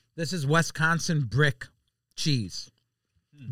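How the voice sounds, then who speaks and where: This man has an American accent and a fairly high, somewhat breathy voice with ordinary pitch variation. He talks at a fairly slow pace in an animated tone, on a very clean recording with a silent background. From Chicago. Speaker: food social media personality. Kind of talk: casual chat.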